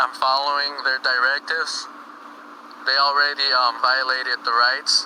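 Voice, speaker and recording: Against noticeable background noise, a man talks in a monotone with flat intonation and very even loudness. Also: medium pitch for a man, moderate pace. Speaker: cop-watching livestreamer. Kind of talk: live commentary.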